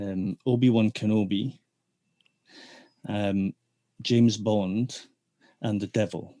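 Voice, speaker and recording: With long, frequent pauses at a very slow pace, a man speaks at a fairly low pitch with monotone, flat intonation and a dark, mellow tone, in a dry, close sound with no echo. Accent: Scottish. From Scotland, Dundee. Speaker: theatre technician turned business development manager. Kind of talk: interview. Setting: podcast.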